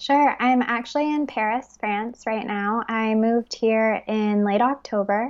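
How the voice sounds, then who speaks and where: A woman with an American accent has an ordinary speaking voice at a fairly high pitch, talking at a fairly slow pace with hardly any pauses. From Texas (Fort Worth), summers in the UK. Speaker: wellness entrepreneur. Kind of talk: casual interview conversation.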